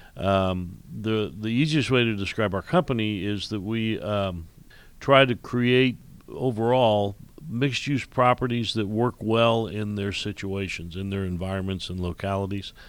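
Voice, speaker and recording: A man with a Midwestern American accent speaks at a fairly slow pace and fairly low pitch with ordinary variation, in a very clean recording with a silent background. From Indiana, US Midwest. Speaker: commercial real estate executive and regional planning chairman. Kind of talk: radio interview. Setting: radio studio. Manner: halting, many fillers and repeats.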